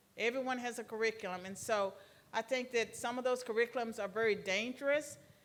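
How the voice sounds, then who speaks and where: Talking at a fairly quick pace, a woman speaks with an American accent. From Virginia. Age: 60s. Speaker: retired professor. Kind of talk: lecture Q&A. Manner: halting.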